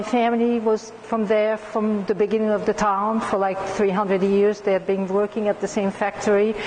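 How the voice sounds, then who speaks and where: Her pitch is fairly high, and this woman talks at a moderate pace. Background noise can be clearly heard. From France. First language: French. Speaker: astrologer and quilting magazine publisher. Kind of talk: talk to an audience. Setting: community center talk. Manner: casual, many fillers.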